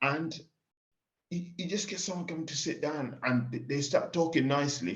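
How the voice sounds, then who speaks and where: A man with an English accent, fairly high-pitched, at a moderate pace with ordinary pitch variation and audible room echo. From Kenya. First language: Swahili. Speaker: pig farmer. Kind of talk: casual chat.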